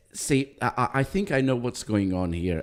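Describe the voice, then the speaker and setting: A man with a non-native accent talks at a moderate pace with lively intonation. The recording is very clean, with a silent background. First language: not English. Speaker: livestream host. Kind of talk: casual chat. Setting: livestream.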